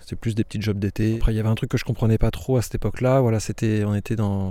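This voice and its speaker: A man's fairly low voice, dark and mellow in tone, very fast and monotone with flat intonation. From northern France, Aisne. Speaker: winegrower. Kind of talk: interview. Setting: outdoors in vineyard. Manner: halting.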